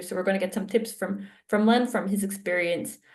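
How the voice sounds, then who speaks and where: A woman speaks at a moderate pace with a slight Israeli accent. Her medium-pitched voice is somewhat breathy. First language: Hebrew. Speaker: academic researcher. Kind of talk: interview conversation.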